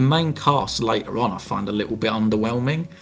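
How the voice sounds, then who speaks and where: The voice shows ordinary pitch variation. Music plays in the background. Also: man. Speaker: podcast host. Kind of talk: casual podcast discussion.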